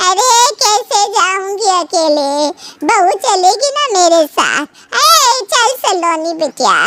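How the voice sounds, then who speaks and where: Putting on a character voice, a woman talks at a very slow pace with an extremely high pitch, very wide pitch swings and very even loudness. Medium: read story. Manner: complaining, slow.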